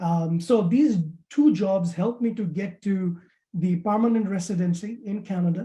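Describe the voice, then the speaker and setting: This speaker talks at a moderate pace with a non-native accent. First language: not English. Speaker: immigrant banking professional. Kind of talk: webinar testimony. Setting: webinar. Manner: halting, many fillers.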